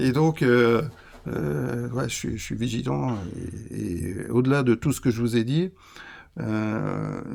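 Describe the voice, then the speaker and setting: This man's voice sits at medium pitch. His intonation is lively. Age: 60s. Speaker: cheesemaker and business founder. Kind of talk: interview conversation. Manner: halting, many repetitions.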